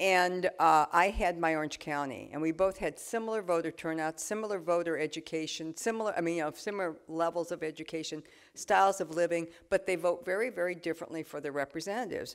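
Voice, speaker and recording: In a very clean recording with a silent background, a woman talks very fast at a fairly low pitch with ordinary pitch variation. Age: 60s. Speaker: politician. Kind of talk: talk with audience Q&A.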